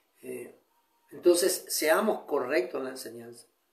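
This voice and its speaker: Audible room echo colors the voice of a man talking at a moderate speed. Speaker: pastor. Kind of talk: sermon. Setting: online broadcast. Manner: restrained, controlling his volume.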